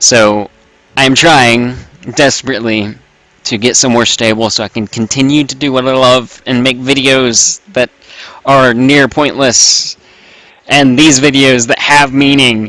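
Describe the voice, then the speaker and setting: Loud and bright with a sharp tone, a man speaks at a medium pitch and a fairly slow pace with fairly even intonation. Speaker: gaming YouTuber. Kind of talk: casual vlog commentary while gaming.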